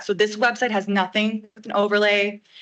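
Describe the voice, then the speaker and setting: A woman speaks loudly at a fairly high pitch. Her tone is bright and sharp. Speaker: village staff member presenting website update. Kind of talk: presentation to a board meeting.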